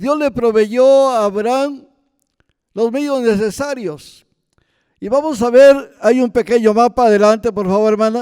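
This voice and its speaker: A man's extremely high voice with a dark, mellow tone, fairly slow pace and ordinary pitch variation. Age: 70s. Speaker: missionary preacher. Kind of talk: sermon.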